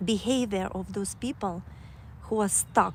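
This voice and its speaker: This woman speaks with a Kazakh accent. Her pace is very slow. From Kazakhstan. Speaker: livestreamer. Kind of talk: casual livestream monologue. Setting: outdoors on a walk. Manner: halting, many fillers.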